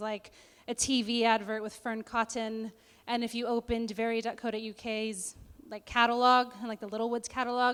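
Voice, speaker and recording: A woman's fairly high voice with an American accent and monotone, flat intonation. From California, USA. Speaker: online editor and journalist. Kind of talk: conference speech.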